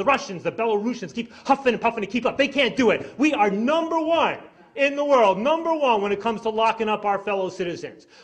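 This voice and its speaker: Amid noticeable background noise, a speaker with an American accent talks at a very fast pace in an animated tone with lively intonation. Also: man. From New York. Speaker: drug policy activist. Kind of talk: speech. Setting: stage with audience.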